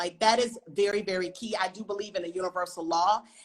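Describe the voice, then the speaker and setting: A woman's medium-pitched voice, animated in tone, with ordinary pitch variation. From US South, North Carolina. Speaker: writer and film director. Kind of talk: interview on a live stream. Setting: live online stream.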